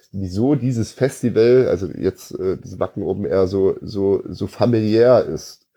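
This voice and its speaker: This man has a medium pitch and a dark, mellow tone. His intonation stays fairly even. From Munich, Bavaria. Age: 30s. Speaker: home care service owner, metal fan. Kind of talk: casual chat.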